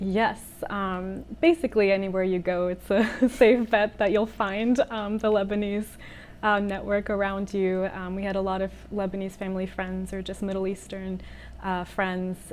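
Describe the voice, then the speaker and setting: At a medium pitch, a woman speaks with fairly even intonation. Her pace is moderate. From California, Palo Alto. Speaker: singer-songwriter. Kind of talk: interview. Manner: hesitant, many fillers.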